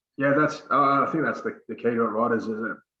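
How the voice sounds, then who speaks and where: A man with an Australian accent talks at a fairly quick pace. His tone is bright and sharp, with fairly even intonation. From Australia, Sydney (born NZ, moved at four). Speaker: former rugby league player. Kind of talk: interview.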